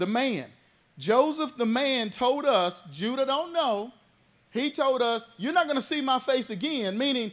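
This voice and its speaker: Loud and animated, a man speaks at a fairly slow pace. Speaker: Bible study teacher. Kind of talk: Bible study teaching.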